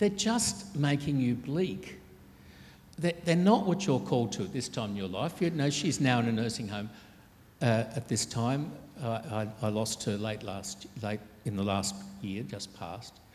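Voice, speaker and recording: A man talks at a fairly slow pace in an Australian accent, his voice somewhat breathy. His pitch swings very widely, and the room echo is audible. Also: medium pitch for a man. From Australia, Sydney. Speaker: archbishop. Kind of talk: interview on stage.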